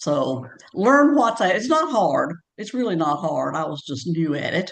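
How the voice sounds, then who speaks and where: Her pitch swings very widely. This woman's voice is fairly low. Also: fairly slow pace. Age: 70s. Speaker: past program participant. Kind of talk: webinar testimony. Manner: halting.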